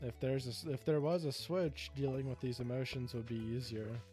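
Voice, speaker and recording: Music plays in the background as a man mumbles at a moderate pace. His pitch is medium and his intonation lively. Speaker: gaming video creator. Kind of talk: rambling personal talk about emotions. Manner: mumbled, slurred words.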